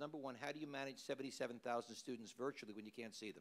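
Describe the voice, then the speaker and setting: Talking very fast, a man varies his pitch in an ordinary way. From New York. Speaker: university administrator, panelist. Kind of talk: panel presentation.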